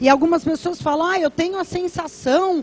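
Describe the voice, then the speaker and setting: The woman's high voice moves at a moderate pace, with ordinary variation in pitch. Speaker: pastor. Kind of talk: sermon.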